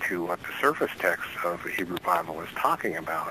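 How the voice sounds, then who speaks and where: A man's very deep, low voice at a moderate pace, with noticeable background noise. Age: 60s. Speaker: bible code researcher and author. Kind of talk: radio interview. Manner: halting, many fillers.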